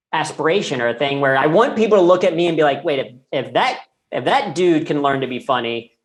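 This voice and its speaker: With a Midwestern accent, a man talks at a fairly quick pace and fairly high pitch, using ordinary pitch variation. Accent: General American (Midwest). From Ohio (Cincinnati), US Midwest. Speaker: comedian and keynote speaker. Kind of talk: podcast interview.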